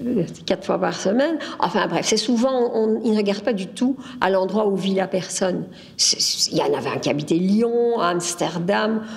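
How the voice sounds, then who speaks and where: Noticeable background noise sits behind a woman speaking at a moderate pace, her medium pitch showing ordinary variation. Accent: Belgian. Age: 70s. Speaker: interviewee, local resident. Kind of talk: testimony. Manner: halting.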